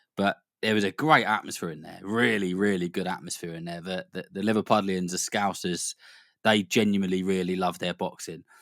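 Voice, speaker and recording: A man with a British accent and a very deep, low pitch speaks at a fairly quick pace, his intonation fairly even but his loudness swinging widely. The very clean recording has a silent background and a dry, close sound with no echo. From Britain. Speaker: boxing commentator, podcast co-host. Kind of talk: casual podcast chat.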